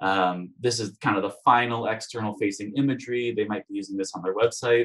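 Speaking at a moderate pace, a man has an unremarkable speaking voice of medium pitch with ordinary pitch variation. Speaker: industrial designer and design instructor. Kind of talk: webinar presentation.

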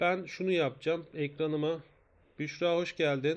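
This man talks at a fairly slow pace in a fairly high pitch. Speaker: math teacher. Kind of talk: live online lesson. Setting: live stream.

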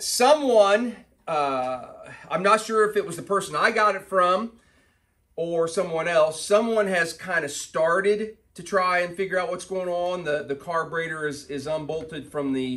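High-pitched man at a moderate pace, ordinary pitch variation and a quiet background. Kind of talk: casual workshop vlog chat. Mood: amused, exasperated. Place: garage. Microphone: camera far.

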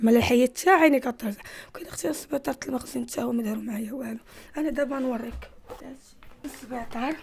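Over light background noise, a woman talks at a fairly quick pace with a high pitch, ordinary pitch variation and big swings in loudness. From Morocco, Casablanca. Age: 20s. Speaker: former street youth; interviewee. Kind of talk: testimony. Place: home room. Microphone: handheld.

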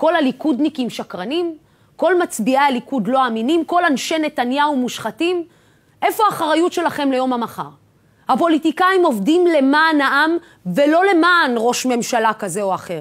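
Against a quiet background, a woman speaks at a moderate pace with a high pitch and lively intonation. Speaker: TV host. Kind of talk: TV news opinion monologue. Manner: impassioned, rhetorical. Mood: serious, pointed, rhetorical. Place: studio.

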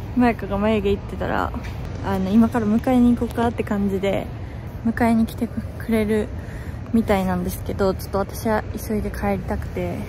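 A woman at a moderate pace, the sound dry with no echo and music in the background. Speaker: vlogger. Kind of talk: casual vlog chat. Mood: excited, anxious, giggly. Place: street. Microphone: phone near.

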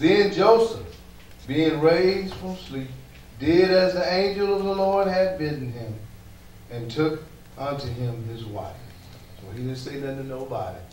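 A man speaks at a fairly slow pace with long, frequent pauses, his fairly high pitch swinging very widely and his loudness rising and falling sharply. Light background noise and audible room echo fill the recording. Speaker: pastor. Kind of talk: sermon. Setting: church. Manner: animated. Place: church.

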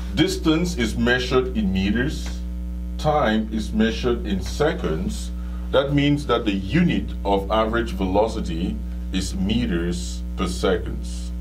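A man speaks at a fairly slow pace with fairly even intonation and a very deep, low pitch. Noticeable background noise runs under his voice. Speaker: physics teacher. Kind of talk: lecture. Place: studio.

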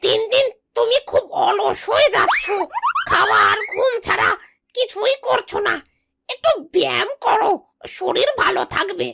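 Over sound effects in the background, a cartoonish character voice at an extremely high pitch talks at a fairly slow pace. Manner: eager, obsequious.

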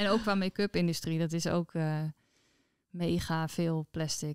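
Against a quiet background, the voice comes across monotone and flat, with a dry sound and no echo. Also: woman. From Netherlands, Friesland (Noordwolde); Friesland. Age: 30s. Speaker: entrepreneur; guest. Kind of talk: interview. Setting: at her business premises. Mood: warm, relaxed. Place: office. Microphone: studio mic.

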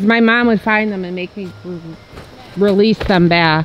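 Light background noise sits under speech delivered at a fairly slow pace. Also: woman, dry sound with no echo. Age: 40s. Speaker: family YouTube vlogger. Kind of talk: casual vlog chat. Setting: outdoors at a playground. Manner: animated. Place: open country. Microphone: phone near.

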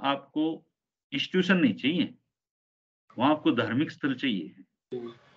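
Against a quiet background, the words come at a very slow pace. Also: man, long, frequent pauses. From Haryana. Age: 40s. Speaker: senior journalist; journalist guest. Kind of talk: interview. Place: home room. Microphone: video call.

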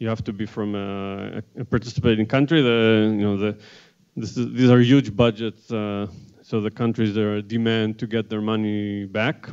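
A man speaks at a moderate pace and a fairly low pitch. His intonation is monotone and flat against a quiet background. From Israel. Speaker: theoretical cosmologist; panelist. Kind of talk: panel presentation. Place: classroom. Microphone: handheld.

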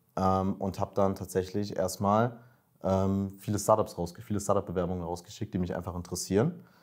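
The speech moves at a fairly quick pace in a monotone, flat way. Behind it the background stays quiet. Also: man, very deep, low pitch for a man. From Berlin, Germany. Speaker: master's student, coaching client; coaching client. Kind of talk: interview, casual. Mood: relaxed, reflective. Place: office. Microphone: lapel.

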